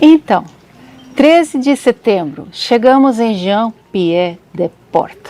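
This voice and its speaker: A soft-spoken voice with noticeable background noise and a dry, close sound free of echo. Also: woman. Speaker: travel vlogger. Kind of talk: travel storytelling vlog.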